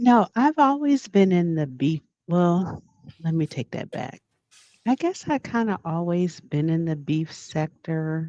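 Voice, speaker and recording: Soft-spoken and fairly low-pitched, a woman with a dark, mellow tone talks at a fairly slow pace with very wide pitch swings. The background is quiet, and the sound is dry and close with no echo. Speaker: livestream chat moderator and panel guest. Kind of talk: casual chat.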